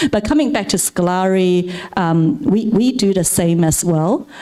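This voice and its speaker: Her pitch is fairly low. A woman speaks over noticeable background noise. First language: not English. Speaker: venture capital partner. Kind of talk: panel talk at event. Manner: halting, repeats words.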